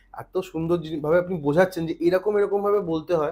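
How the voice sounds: A man talks in a high voice, its pitch varying in an ordinary way.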